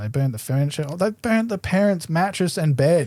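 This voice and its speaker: A man's dark, mellow tone, lively in intonation, at a moderate pace. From Adelaide, South Australia. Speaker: BMX rider. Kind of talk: casual chat. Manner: loud, talkative.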